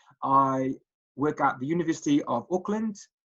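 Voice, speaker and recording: Lively in intonation, a man speaks at a fairly high pitch in a Welsh accent. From Wales, Cardiff. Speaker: statistics lecturer. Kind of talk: recorded presentation. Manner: hesitant, many fillers.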